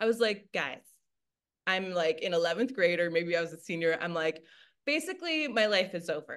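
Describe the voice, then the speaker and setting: This woman has an American accent and a fairly low pitch, speaking at a moderate pace. Her tone is animated, with ordinary pitch variation. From Michigan, US Midwest. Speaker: energy work facilitator and massage therapist. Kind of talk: casual interview.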